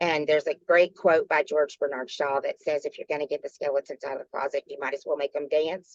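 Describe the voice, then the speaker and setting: Raspy and pitched in the middle, a put-on character voice races along at a very fast pace with hardly any pauses. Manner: fast-paced.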